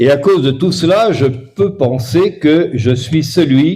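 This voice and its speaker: Speaking at a very slow pace, a man with a fairly high pitch has a dark, mellow, somewhat breathy tone and lively intonation. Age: 70s. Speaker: bishop and magnetism practitioner giving a talk. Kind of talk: lecture. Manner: slow, in short phrases paused for interpreter.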